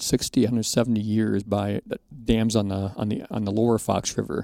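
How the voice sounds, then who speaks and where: Talking fairly quickly with an American accent, a man has a medium-pitched, dark and mellow voice with fairly even intonation, the sound dry and close with no echo. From Wisconsin. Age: 60s. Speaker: outdoor writer. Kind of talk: casual podcast interview.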